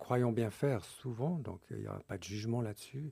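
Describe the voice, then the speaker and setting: A man's medium-pitched, somewhat breathy voice with a dark, mellow tone, at a moderate pace with ordinary pitch variation, on a very clean recording with a silent background. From Switzerland. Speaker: author and couples workshop leader. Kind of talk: radio interview. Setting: radio studio. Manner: halting, with many fillers.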